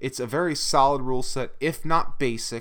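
A man speaks at a moderate pace with ordinary pitch variation. The recording is very clean, with a silent background. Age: 20s. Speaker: tabletop gaming podcaster. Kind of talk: casual solo monologue. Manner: halting, many fillers.

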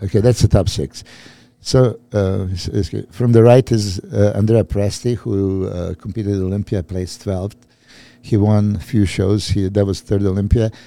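A man speaks with a Serbian accent. His pace is moderate. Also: fairly even intonation. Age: 50s. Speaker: bodybuilding coach. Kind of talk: casual chat.

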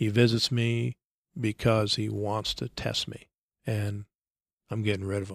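A man speaks with a fairly low pitch, a somewhat breathy voice and fairly even intonation. The recording is very clean with a silent background and a dry, close sound with no echo. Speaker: baseball coach. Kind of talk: interview.

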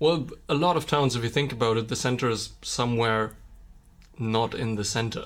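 A man with a German accent, medium pitch, moderate pace and ordinary pitch variation. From Germany, Ruhr area (Witten). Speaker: university project officer. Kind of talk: casual interview chat.

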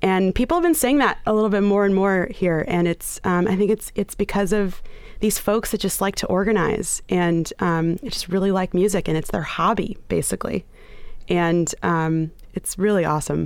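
Heard here is an ordinary speaking voice, moving at a moderate pace with ordinary pitch variation. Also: woman, medium pitch for a woman. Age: young. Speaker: music journalist. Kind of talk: radio interview. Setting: radio studio.

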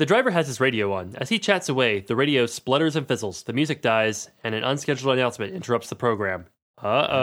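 A natural voice reads a text aloud, with little sound in the background.

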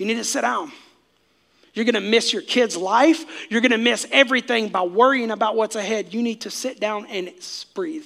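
A man speaks loudly in a bright, sharp tone at a high pitch. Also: ordinary pitch variation. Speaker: pastor. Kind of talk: sermon. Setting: church with live audience. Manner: fast.

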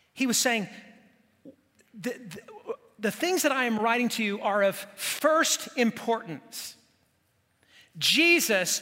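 A man's raised, projected voice, bright and sharp in tone, with lively intonation at a very slow pace. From grew up in the local community (Bethany). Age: 60s. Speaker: pastor. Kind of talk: sermon. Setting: church with congregation.

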